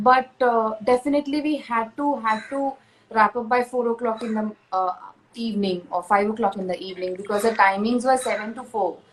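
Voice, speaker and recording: At a moderate pace, a woman with a Marathi accent talks at a fairly high pitch with ordinary pitch variation. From India, Pune (Maharashtra). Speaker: actress. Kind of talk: panel interview. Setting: live stream.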